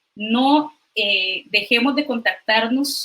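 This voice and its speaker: A woman speaks with a Costa Rican accent. Her tone is bright and sharp. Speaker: physician and doctoral researcher. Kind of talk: online science talk. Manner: hesitant, many fillers.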